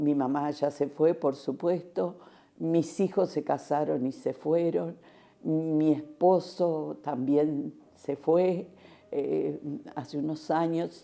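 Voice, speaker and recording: In a dark, mellow tone, a woman speaks with a very deep, low pitch and fairly even intonation. Her pace is very slow. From Uruguay, Montevideo. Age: 80s+. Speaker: retired schoolteacher, housing cooperative member. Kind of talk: oral history interview. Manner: halting, with many fillers.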